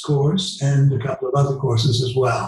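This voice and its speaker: A man with a Dutch accent and a fairly high pitch is heard with audible room echo and noticeable background noise. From Netherlands, moved to Canada at 12. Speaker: retired law professor and legal counsel. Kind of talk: interview. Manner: halting, many repetitions and fillers.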